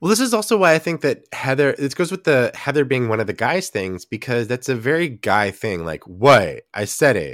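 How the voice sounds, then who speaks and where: In a very clean recording with a silent background and a dry, close sound with no echo, a man with vocal fry and a medium pitch makes very wide pitch swings, keeping a moderate pace with hardly any pauses. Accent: American. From Texas. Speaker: podcast host. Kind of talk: casual chat.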